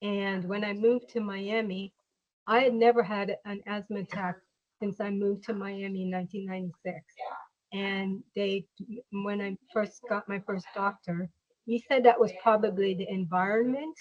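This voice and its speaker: Speaking at a moderate pace and a medium pitch, a woman with a plain, everyday voice keeps her intonation fairly even while her loudness swings widely. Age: 50s. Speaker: patient. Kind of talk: interview.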